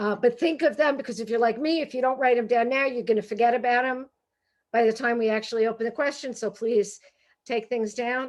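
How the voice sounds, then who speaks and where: Over a quiet background, a woman speaks with a Brooklyn accent in a high voice. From Brooklyn, New York. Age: 60s. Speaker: humorist and professor. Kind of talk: author talk. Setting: video call. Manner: animated.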